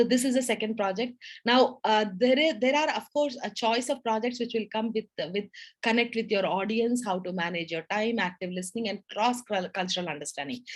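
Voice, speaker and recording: Speaking at a fairly quick pace, a woman has a fairly high pitch with ordinary pitch variation. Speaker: public speaking club leader. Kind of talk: educational talk. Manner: loud, animated.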